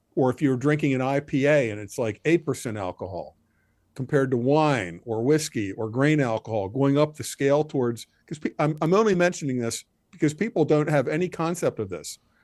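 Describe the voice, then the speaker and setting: Using a normal speaking voice, a man talks fairly quickly with lively intonation and fairly high pitch, the sound dry and close with no echo over a quiet background. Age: 60s. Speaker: author and former military commentator. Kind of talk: podcast discussion.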